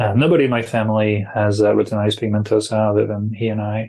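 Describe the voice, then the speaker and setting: A man with a French accent talks at a fairly quick pace and fairly low pitch. His intonation is monotone and flat against a quiet background. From France, Brittany. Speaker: para-athlete. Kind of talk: interview.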